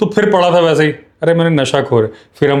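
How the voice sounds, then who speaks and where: The man talks at an unhurried, average speed, his pitch rising and falling in a normal way. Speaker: wildlife expert. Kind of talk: casual chat.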